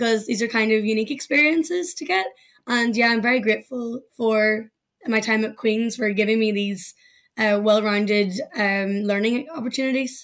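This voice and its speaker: This speaker has a Northern Irish accent, a moderate pace and ordinary pitch variation. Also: woman, fairly high pitch for a woman. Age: 20s. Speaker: law graduate, legal professional. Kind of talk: casual interview.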